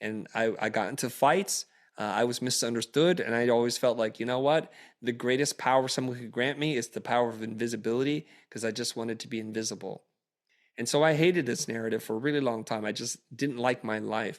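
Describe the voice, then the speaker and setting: A man's unremarkable speaking voice, medium in pitch with ordinary pitch variation, at a fairly quick pace on a very clean recording with a silent background. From Vietnam, raised in US. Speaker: creative entrepreneur and educator. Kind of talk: interview conversation.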